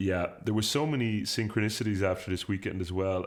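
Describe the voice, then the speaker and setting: Speaking with an Irish accent, a man delivers his words at a fairly quick pace with a fairly low pitch and fairly even intonation. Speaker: podcast co-host. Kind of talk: casual chat. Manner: quieter and lower-energy than usual.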